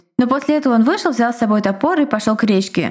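Noticeable noise fills the background as a woman talks. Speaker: podcast co-host. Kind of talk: casual chat and reading listener stories aloud. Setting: home recording.

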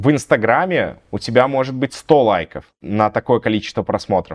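A man at medium pitch and a moderate pace, dry and close with no echo, in a quiet background. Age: 30s. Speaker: blogger and content agency owner. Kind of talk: casual interview.

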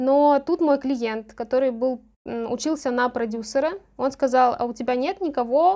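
Against a quiet background, a woman speaks at a fairly slow pace in a high-pitched voice with a dark, mellow tone. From Novosibirsk region, Russia. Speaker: lawyer. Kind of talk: casual interview.

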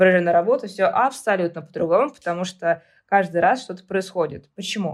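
At a fairly quick pace, a woman speaks in an ordinary speaking voice with ordinary pitch variation. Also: medium pitch for a woman. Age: 20s. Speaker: hypermarket department manager. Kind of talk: interview.

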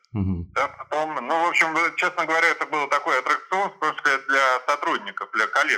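Speaking at a very fast pace, a man with a fairly high pitch and a bright, sharp tone uses ordinary pitch variation. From Germany and St Petersburg. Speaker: lawyer. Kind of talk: interview.

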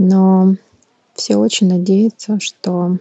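Her voice is somewhat breathy, at a medium pitch for a woman. The intonation stays monotone and flat. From Ukraine, Kyiv. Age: 30s. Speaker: war refugee. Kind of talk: personal testimony.

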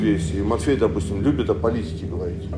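Over music in the background and with audible room echo, a man speaks at a fairly quick pace with very wide pitch swings. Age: 40s. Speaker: pastor. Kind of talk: sermon. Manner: halting.

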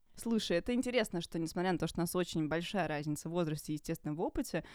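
Fairly low in pitch, a woman's voice moves at a very fast pace with ordinary pitch variation. The recording is very clean, with a silent background. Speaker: screenwriter and producer. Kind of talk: casual chat.

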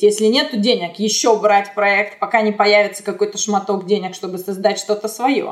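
A plain, everyday voice from a woman, pitched fairly high and moving at a moderate tempo. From Russia (Chelyabinsk), later Israel. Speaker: animation art director. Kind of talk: interview.

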